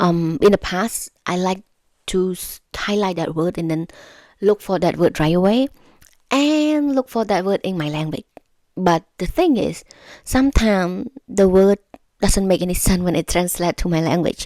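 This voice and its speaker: A woman with a non-native accent and a dark, mellow tone speaks at a medium pitch and moderate pace with lively intonation. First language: not English. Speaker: YouTuber giving language-learning tips. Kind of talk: casual tutorial to camera. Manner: halting, with self-corrections and repetitions.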